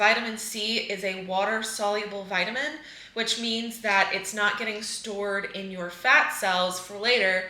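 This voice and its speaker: A woman's fairly high pitch with ordinary pitch variation, with audible room echo and noticeable background noise. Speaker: eczema coach and vlogger. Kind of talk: casual vlog.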